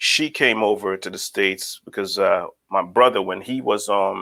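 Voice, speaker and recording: Here a man speaks with a Guyanese accent. His pace is fairly slow. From Guyana. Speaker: licensed professional counselor. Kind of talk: podcast interview. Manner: halting, many fillers.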